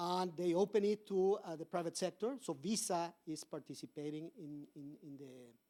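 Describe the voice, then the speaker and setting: A man speaks in a high pitch with a dark, mellow tone. His pace is moderate, his pitch variation ordinary, and his loudness swings widely. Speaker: corporate policy advisor, conference speaker. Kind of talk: conference talk. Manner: halting, many fillers and repetitions.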